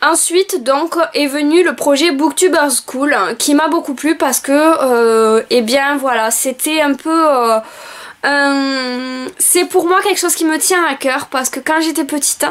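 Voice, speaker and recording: A woman's high-pitched voice with a southern French accent at a very slow pace. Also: ordinary pitch variation. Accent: southern French (Roussillon), noticeable. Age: 20s. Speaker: book vlogger and school assistant. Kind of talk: video self-presentation. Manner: hesitant, many filler sounds.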